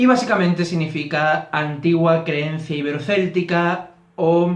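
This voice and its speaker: A man with an Andalusian accent talks at a fairly slow pace in a high pitch, with audible room echo. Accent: thick Andalusian (Barbate). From Andalusia, Barbate (Cádiz). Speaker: YouTuber on Celtic reconstructionist religion. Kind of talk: casual explanatory vlog. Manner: hesitant with fillers.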